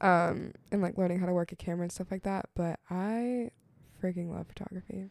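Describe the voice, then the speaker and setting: A plain, everyday voice at a fairly quick pace, with fairly even intonation and a dry, close sound with no echo. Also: woman, medium pitch for a woman. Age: 20s. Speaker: college student and ministry intern. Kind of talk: casual chat.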